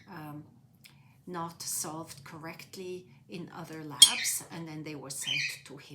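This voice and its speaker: In a Swiss accent, the speaker goes at a very slow pace with long, frequent pauses, fairly even intonation and big swings in loudness. Noticeable background noise and audible room echo are present. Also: woman, fairly low pitch for a woman. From Switzerland, near Zurich. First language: Swiss German. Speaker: interviewee. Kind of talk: life story interview. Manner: hesitant, many fillers.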